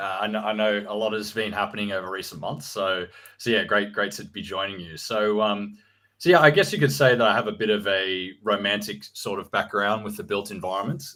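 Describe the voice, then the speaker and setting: A man with an Australian accent, fairly low in pitch with ordinary variation, at a fairly quick pace, big swings in loudness, on a very clean recording against a silent background. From Australia, Sydney suburbs. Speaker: real estate researcher. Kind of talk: interview. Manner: hesitant, many fillers.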